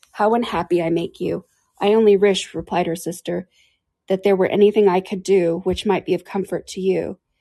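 The voice is plain reading aloud with fairly even intonation. The background is quiet.

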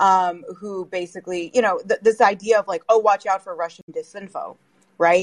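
An unremarkable speaking voice moves at a moderate pace with fairly even intonation and big swings in loudness, recorded with a dry, close sound and no echo. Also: woman, medium pitch for a woman. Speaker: media critic. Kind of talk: panel discussion.

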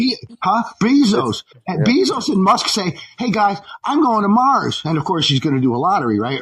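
His pitch swinging very widely, a man speaks. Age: old. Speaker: caller, former Teamster. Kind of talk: call-in conversation.

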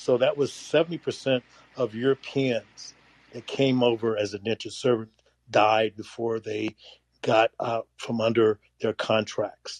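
A plain, everyday voice from a man at medium pitch, fairly slow and fairly even in intonation, with a dry, close sound, no echo and a quiet background. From US. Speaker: audience member. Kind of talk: casual group discussion.

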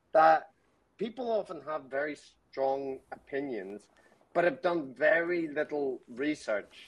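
A very slow pace paired with lively intonation. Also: man, fairly high pitch for a man. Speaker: caller, podcaster. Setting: phone call.

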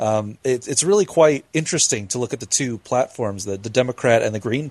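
A man with a medium-pitched voice talks at a fairly quick pace with lively intonation, his sound dry and close with no echo over noticeable background noise. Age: 20s. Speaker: podcast co-host. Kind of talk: casual chat.

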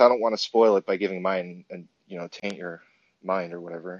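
A man talks at a moderate pace with ordinary pitch variation. He has a normal speaking voice. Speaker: caller. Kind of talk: call-in discussion. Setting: phone or app call.

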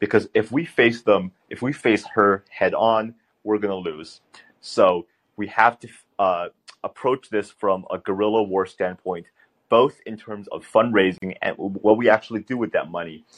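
A man's fairly low voice at a moderate pace, with an American accent, ordinary pitch variation and big swings in loudness, dry and close with no echo. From US West Coast (San Francisco Bay Area). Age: 20s. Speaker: congressional candidate. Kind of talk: interview.

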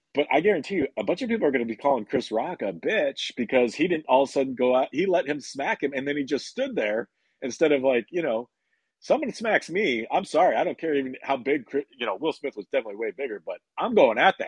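This man talks very fast with lively intonation and a fairly high pitch. The sound is dry and close with no echo, over a quiet background. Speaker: caller. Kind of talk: casual call-in chat. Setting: phone call. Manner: halting.

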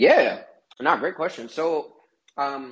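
A man at a moderate pace with an American accent. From Kansas. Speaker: tech startup founder. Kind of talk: interview. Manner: halting, many fillers.

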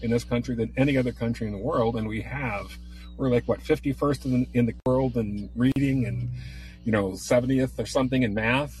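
Noticeable background noise sits behind a man who is talking fairly quickly. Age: 60s. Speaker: caller. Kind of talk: call-in discussion.

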